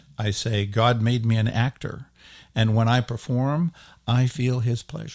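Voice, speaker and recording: In a very clean recording with a silent background, a man with an ordinary speaking voice talks at a fairly slow pace, medium in pitch and fairly even in intonation. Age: 60s. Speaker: actor. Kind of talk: interview.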